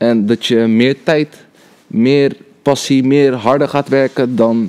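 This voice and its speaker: Dry, close sound with no echo, a dark, mellow tone and ordinary pitch variation. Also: man. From Netherlands, Rotterdam. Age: 20s. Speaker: cameraman and video editor. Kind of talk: casual chat.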